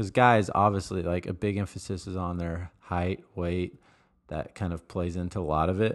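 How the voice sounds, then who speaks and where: A man's very deep, low voice keeps fairly even intonation at a moderate pace. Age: 20s. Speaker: sports podcast co-host. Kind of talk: casual chat.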